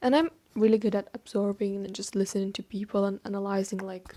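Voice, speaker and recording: A woman with a Turkish accent speaks in a dark, mellow tone on a very clean recording with a silent background. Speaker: vlogger. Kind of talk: casual chat. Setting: filming alone on camera. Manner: chatty, rambling with fillers.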